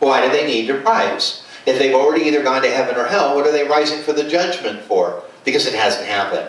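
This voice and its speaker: A man talks at a very fast pace, with audible room echo around him. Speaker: preacher. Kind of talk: sermon. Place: home room.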